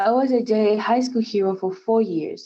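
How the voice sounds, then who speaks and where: With a Spanish accent, a woman speaks at a moderate pace with ordinary pitch variation. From Puerto Rico. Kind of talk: scripted speech. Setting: virtual event.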